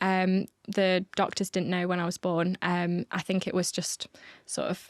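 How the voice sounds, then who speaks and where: In a British accent, the speaker talks at a fairly slow pace, with a dry, close sound with no echo on a very clean recording against a silent background. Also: woman. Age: 20s. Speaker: podcast guest. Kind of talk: interview. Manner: hesitant, many fillers.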